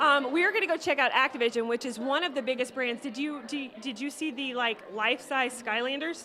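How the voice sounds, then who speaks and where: A woman's high, raised and projected voice, animated in tone, with ordinary pitch variation at a fairly quick pace and hardly any pauses. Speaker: blogger hosting event walkthrough. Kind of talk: casual event interviews. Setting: live event venue. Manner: loud.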